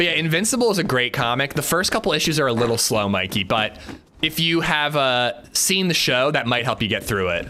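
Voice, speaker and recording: A man with an American accent speaks at a fairly high pitch, his loudness very even while his pitch swings very widely. Noticeable background noise runs under him. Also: fairly quick pace. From US Pennsylvania. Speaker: gaming streamer. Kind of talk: casual chat.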